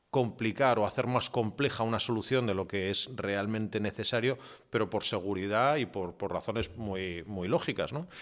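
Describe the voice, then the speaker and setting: A man speaks at a moderate pace in a fairly low voice with ordinary pitch variation, recorded very cleanly against a silent background. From half English, born in UK, mother English. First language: English (speaking Spanish). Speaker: media executive and digital transformation consultant. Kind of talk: podcast interview. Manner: hesitant with many fillers and repetitions.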